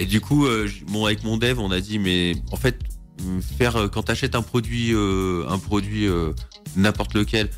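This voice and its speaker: Very wide pitch swings mark this voice, with music in the background. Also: man, very deep, low pitch for a man. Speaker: co-founder of a local platform. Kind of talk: radio interview answer.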